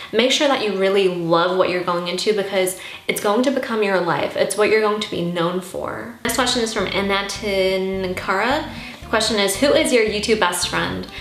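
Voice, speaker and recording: This woman speaks in an animated tone at a moderate pace, her medium pitch showing ordinary variation, with audible room echo and noticeable background noise. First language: Armenian. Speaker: YouTuber. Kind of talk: casual Q&A vlog.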